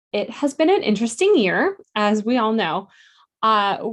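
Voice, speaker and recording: Against a quiet background, a woman speaks with fairly high pitch. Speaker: math teacher. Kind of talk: presentation at school board meeting.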